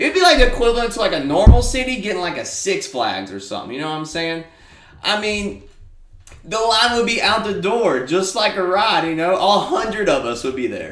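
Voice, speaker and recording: A man speaks in a high voice at a fairly quick pace, his pitch swinging very widely. The room echoes audibly, and there is noticeable background noise. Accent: Alabama. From small-town Alabama. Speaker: podcast host. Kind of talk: casual monologue. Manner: casual, filler-heavy.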